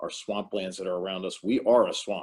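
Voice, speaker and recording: This man speaks with a New Jersey accent and a fairly low pitch. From New Jersey, Morris County. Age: 60s. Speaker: town mayor. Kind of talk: panel discussion. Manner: halting, many fillers.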